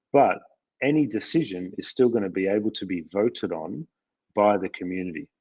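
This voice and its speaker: Over a quiet background, a man with an Australian accent talks at a moderate pace in a fairly low pitch, the sound dry and close with no echo. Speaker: company CEO. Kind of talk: live Q&A discussion. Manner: hesitant, many fillers.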